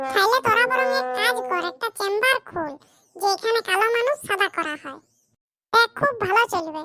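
A woman puts on a cartoonish character voice at an extremely high pitch, with very wide pitch swings and a whiny tone. She keeps a moderate pace. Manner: whiny, joking.

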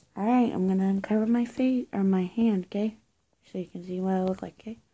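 At a moderate pace, a woman speaks in a dark, mellow, somewhat breathy voice with ordinary pitch variation. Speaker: role-play host. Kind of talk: role-play talk to viewer. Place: home room. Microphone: phone near.

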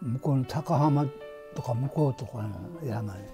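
A man talks at a very slow pace with a Nagasaki accent. Faint music plays in the background. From Hashima Island, Nagasaki, Japan. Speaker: former coal miner. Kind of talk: interview answer. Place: home room.

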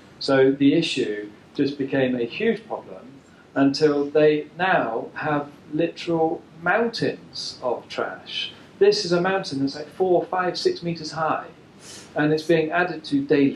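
Noticeable background noise sits behind this recording. A man speaks very slowly in a fairly high pitch with ordinary pitch variation. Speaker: environmental researcher. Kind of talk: presentation talk.

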